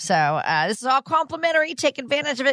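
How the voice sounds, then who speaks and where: Very fast and bright, sharp in tone, the voice makes very wide pitch swings in a dry, close sound with no echo. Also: woman. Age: 60s. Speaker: radio co-host. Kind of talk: radio host patter, upbeat intros and interview questions. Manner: bright, friendly, engaged, laughs easily.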